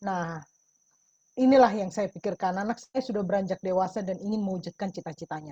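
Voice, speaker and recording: A woman with a medium pitch and a dark, mellow, somewhat breathy tone talks at a very fast pace with ordinary pitch variation, recorded in a dry, close sound with no echo. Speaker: testimony giver in a webinar. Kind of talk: testimony. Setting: video call.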